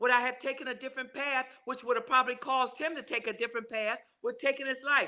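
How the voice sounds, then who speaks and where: A woman talks at a very fast pace in a raised, projected voice with a high pitch. Her tone is bright and sharp, and her intonation is monotone and flat. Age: 70s. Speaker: grandmother speaking on suicide loss. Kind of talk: interview testimony.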